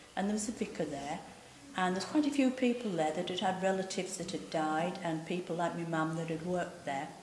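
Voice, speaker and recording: With a Cumbrian accent, a woman talks at a fairly quick pace and medium pitch with lively intonation, over audible room echo and noticeable background noise. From West Cumbria, northern England (Cockermouth). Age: 60s. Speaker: oral history storyteller. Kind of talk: oral history testimony. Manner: conversational, unscripted.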